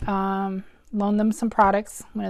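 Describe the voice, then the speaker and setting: A woman's fairly quick, monotone, flat delivery on a very clean recording with a silent background. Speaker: craft demonstrator. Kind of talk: live craft tutorial. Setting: livestream video from home. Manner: chatty, halting with many ums.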